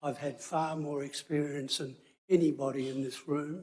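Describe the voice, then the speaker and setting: Here a man with an Australian accent speaks at a fairly slow pace in a dark, mellow tone. His pitch is fairly high, and his intonation stays fairly even. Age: 80s+. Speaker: local resident, neighbour. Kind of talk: public submission. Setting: council meeting.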